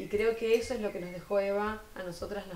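Audible room echo surrounds a woman as she speaks. She keeps a moderate pace with fairly even intonation. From Argentina, Buenos Aires province (Florencio Varela). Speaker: municipal culture official. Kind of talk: TV interview. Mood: earnest, committed. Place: studio. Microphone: lapel.

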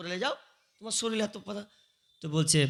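A man's high-pitched voice with an animated tone. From West Bengal, Murshidabad. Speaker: Islamic preacher. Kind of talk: sermon.

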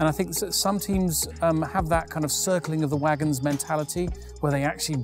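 A man at a moderate pace, dry with no echo, with clear music in the background. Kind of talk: interview answer. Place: hall.

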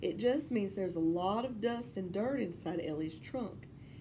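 Someone reads in an unforced voice.

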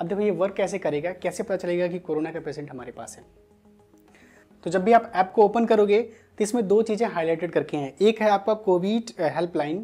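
A man's high voice at a moderate pace, with big swings in loudness and faint music in the background. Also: ordinary pitch variation. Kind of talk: tutorial. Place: studio. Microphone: lapel.

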